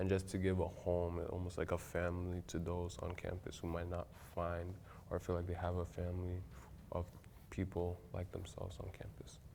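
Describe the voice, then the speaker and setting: With a fairly quick pace, this dark, mellow voice keeps a flat, monotone intonation. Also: man. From Ghana. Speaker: student club vice president. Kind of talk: casual interview.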